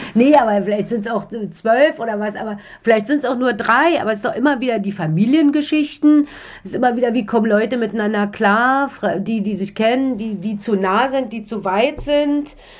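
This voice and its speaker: Over noticeable background noise, a woman with a slight East Berlin accent talks at a fairly quick pace in a fairly high pitch with ordinary variation. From East Berlin, Germany. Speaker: author. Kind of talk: interview. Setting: in Strasbourg. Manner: hesitant, many fillers.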